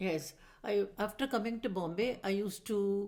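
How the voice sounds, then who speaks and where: A woman's dark, mellow tone with fairly even intonation, in a Tamil Indian accent. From Madras, South India. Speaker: retired teacher, dancer and musician. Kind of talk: interview answer.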